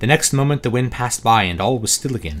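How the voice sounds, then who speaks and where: Very fast speech from a man at a medium pitch, with lively intonation. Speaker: author. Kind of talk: audiobook reading.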